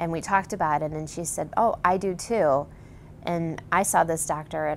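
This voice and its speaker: A woman speaks at a fairly low pitch with vocal fry. Her pitch variation is ordinary. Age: 30s. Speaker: patient. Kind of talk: testimony. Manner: halting.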